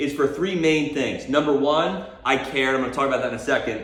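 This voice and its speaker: A man talks at a fairly quick pace with a fairly high pitch. Noticeable background noise and audible room echo surround him. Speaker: marketing agency owner. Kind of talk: business advice talk. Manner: energetic, enthusiastic.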